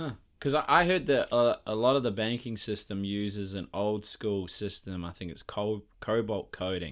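In a very clean recording with a silent background, a man with a plain, everyday voice speaks at a moderate pace with lively intonation and hardly any pauses. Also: fairly low pitch for a man. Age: 30s. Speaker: podcast host. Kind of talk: casual interview.

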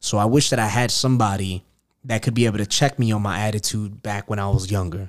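At a very fast pace, a man with a New York accent talks at a fairly low pitch with fairly even intonation on a very clean recording with a silent background. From Queens, New York. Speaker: podcast host. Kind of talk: casual chat.

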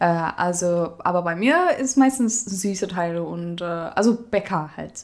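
A woman's fairly low voice at a fairly slow pace, with ordinary pitch variation and hardly any pauses. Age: 20s. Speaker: apprentice baker. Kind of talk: casual interview chat.

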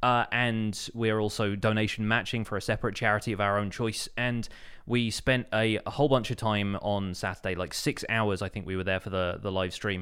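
In a very clean recording with a silent background, a man with a British accent talks fairly quickly at a fairly low pitch. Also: fairly even intonation, hardly any pauses. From Britain. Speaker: podcast host, gaming content creator. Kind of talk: casual chat.

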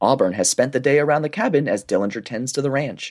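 Fairly high male voice with vocal fry, in a dry, close sound with no echo. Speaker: romance book podcast co-host. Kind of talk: casual comedic chat with plot recaps. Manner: hesitant, filler-heavy.

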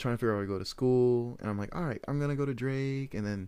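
A man talks with ordinary pitch variation. The recording is very clean and the background silent. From Iowa, US Midwest (Des Moines). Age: 20s. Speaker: photographer and podcast host. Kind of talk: casual monologue.

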